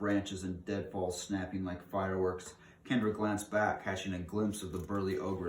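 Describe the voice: Simply plain reading aloud, no frills.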